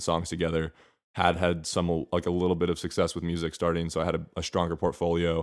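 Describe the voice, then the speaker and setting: On a very clean recording with a silent background, a man with an American accent and a very deep, low pitch talks very fast in a monotone, flat intonation. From Washington DC area, Maryland. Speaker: music student and electronic music producer. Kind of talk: casual interview.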